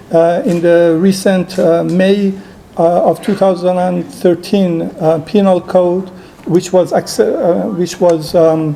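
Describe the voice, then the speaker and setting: The delivery is very slow, with very even loudness and monotone, flat intonation. Noticeable background noise can be heard. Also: man, high pitch for a man. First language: Persian. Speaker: human rights activist and filmmaker. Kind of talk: conference talk. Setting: conference hall with audience. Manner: halting, many fillers.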